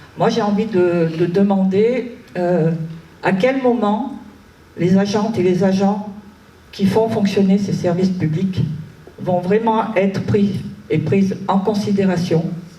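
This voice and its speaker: A woman speaks at a very slow pace with a medium pitch, fairly even intonation and very even loudness, leaving long, frequent pauses. Music plays in the background, and the room echo is audible. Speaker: public sector employee, audience member. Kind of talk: audience question at public debate. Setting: debate hall with audience. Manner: halting.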